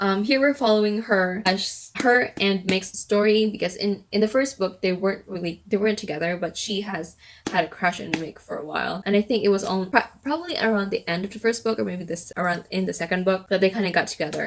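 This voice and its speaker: A woman talks at a very fast pace with hardly any pauses, at medium pitch and with ordinary pitch variation. Noticeable background noise is audible. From Philippines. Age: 20s. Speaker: book reviewer. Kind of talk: casual talk to camera.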